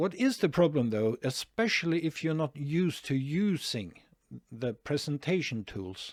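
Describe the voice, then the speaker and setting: Very wide pitch swings mark a man's fairly high voice, heard with a Norwegian accent at a moderate pace in a very clean recording with a silent background and a dry, close sound with no echo. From Norway. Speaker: online marketing youtuber. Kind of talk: tutorial. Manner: hesitant, many fillers.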